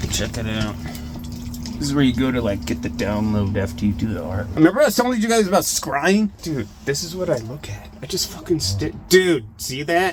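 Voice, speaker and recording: A man at a medium pitch with very wide pitch swings, with music in the background. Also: moderate pace. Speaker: artist and video creator. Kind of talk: casual monologue to camera. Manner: casual, profane.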